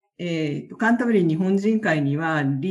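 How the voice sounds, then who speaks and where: A woman's fairly low voice with lively intonation over a quiet background. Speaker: community association president. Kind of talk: interview.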